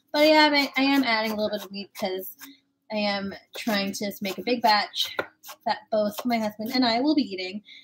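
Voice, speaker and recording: Moderate pace and lively intonation amid noticeable background noise. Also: woman. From Filipino Chinese heritage. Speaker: cooking streamer. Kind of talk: live cooking stream. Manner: casual and chatty. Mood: friendly, relaxed. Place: kitchen. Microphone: webcam.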